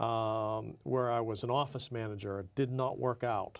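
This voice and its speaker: In a very clean recording with a silent background, a man with an American accent speaks at a medium pitch in a monotone, flat intonation. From Pittsburgh, Pennsylvania. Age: 60s. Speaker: entrepreneur. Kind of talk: interview. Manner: hesitant, many fillers.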